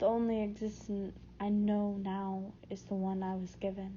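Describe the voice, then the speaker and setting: A somewhat breathy, fairly slow delivery in a flat monotone. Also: woman. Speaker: audiobook narrator. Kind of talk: audiobook reading, first-person narration of a novel.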